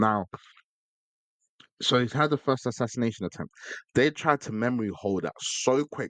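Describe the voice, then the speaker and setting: A man talks at a fairly quick pace in a medium pitch with vocal fry, the sound dry and close with no echo. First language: not English. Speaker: podcast host. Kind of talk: solo podcast monologue. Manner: casual, with stumbles and repetitions.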